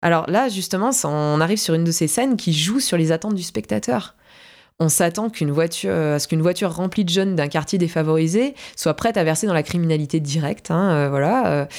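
An ordinary speaking voice, fairly quick and with lively intonation, at very even loudness on a very clean recording with a silent background. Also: woman, fairly low pitch for a woman. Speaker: film podcast co-host. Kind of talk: casual chat.

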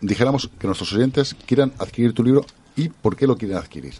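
Ordinary pitch variation at a fairly quick pace. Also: man. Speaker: radio co-host and interviewer. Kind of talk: radio interview.

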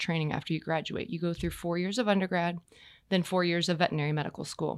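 This woman's pitch sits fairly low. She has an American accent. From Texas. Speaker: equine veterinarian. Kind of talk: casual interview chat. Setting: podcast studio.

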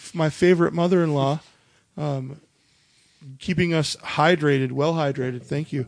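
Speaking with an Upper Midwest accent, a man with fairly high pitch keeps a moderate pace and fairly even intonation, with long, frequent pauses. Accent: Upper Midwest American. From North Dakota, Minot area. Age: 30s. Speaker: podcast host. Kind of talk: casual chat. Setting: home recording while drinking beer.

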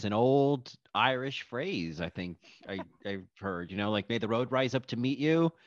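Against a quiet background, a normal speaking voice comes through with lively intonation and a dry, close sound with no echo. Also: man. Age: 30s. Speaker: podcast host. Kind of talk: casual chat.

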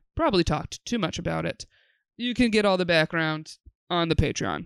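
In a normal speaking voice with an American accent, a woman with a fairly low pitch talks with lively intonation, recorded very cleanly with a silent background and a dry, close sound with no echo. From upstate New York, Binghamton. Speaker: podcast host and comedian. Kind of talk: show intro and promo; casual interview chat.

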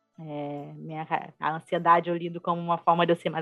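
A woman's fairly low, monotone, flat voice over music in the background. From Brazil, Rio de Janeiro. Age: 20s. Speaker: UX designer. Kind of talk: casual interview.

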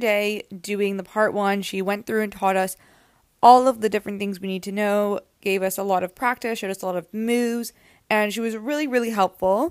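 An ordinary speaking voice from a woman with a Canadian accent, fairly high pitch and ordinary pitch variation, at a moderate pace. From Canada, Toronto area. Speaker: pilates instructor and podcast host. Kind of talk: casual solo talk answering listener questions.

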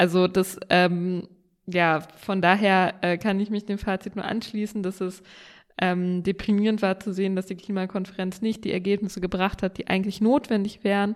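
A woman speaks at a moderate pace in a medium pitch. Her intonation is monotone and flat. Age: young. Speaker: state politician and podcast co-host. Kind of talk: casual chat. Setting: remote call from home office.

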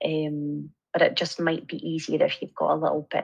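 A woman with a Scottish accent talks at a moderate pace. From Scotland, Angus. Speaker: nurse lecturer. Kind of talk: interview.

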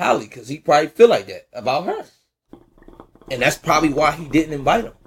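A man's somewhat breathy, fairly high-pitched voice at a very fast pace, with ordinary pitch variation. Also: big swings in loudness. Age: 30s. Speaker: podcast co-host. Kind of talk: casual chat.

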